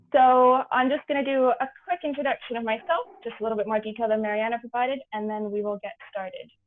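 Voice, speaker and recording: Delivery is fairly quick, and the pitch rises and falls in an ordinary way. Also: woman. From Canada. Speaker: business program advisor, webinar presenter. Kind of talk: webinar presentation. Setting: video call webinar. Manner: frequent filler 'um'.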